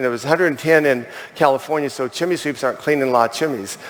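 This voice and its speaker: There is noticeable background noise as a man talks very fast. His fairly high voice has ordinary pitch variation. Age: 60s. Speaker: convention speaker, chimney sweep turned network marketer. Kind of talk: testimony. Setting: stage with audience. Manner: conversational, with fillers.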